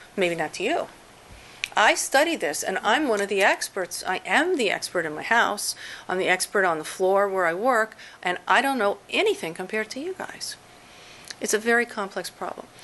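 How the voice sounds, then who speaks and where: A woman has a plain, everyday voice at a medium pitch. She keeps a moderate pace and lively intonation. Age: 50s. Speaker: professor. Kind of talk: lecture; audience Q&A. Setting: seminar with audience.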